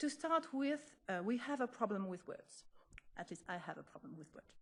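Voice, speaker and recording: Speaking in a French accent, a woman uses a fairly high pitch. Her pitch swings very widely. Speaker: history professor. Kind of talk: lecture. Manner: halting.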